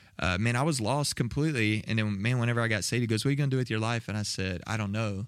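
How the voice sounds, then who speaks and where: A man with a Texan accent talks at a very fast pace. His pitch is medium, and there are hardly any pauses. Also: ordinary pitch variation. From Texas, south of Waco. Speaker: next-gen ministry director. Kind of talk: casual chat.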